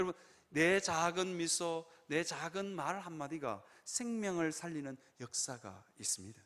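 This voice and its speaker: A man talks in a high pitch, his intonation lively. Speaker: pastor. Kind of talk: sermon. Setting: church. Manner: fast.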